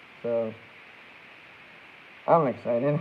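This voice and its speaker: A man talks at a very slow pace while noticeable background noise carries on behind him. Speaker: streamer. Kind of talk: casual chat. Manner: animated.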